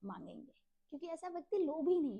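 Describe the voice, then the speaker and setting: This is a woman's voice. Its tone is dark and mellow. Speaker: religious text reader, channel host. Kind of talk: scripture reading and explanation. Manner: slow.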